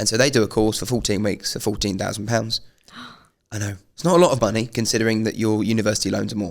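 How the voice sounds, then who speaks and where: On a very clean recording with a silent background, a man with a fairly low pitch speaks very fast with ordinary pitch variation. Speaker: podcast host. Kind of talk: casual chat. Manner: animated.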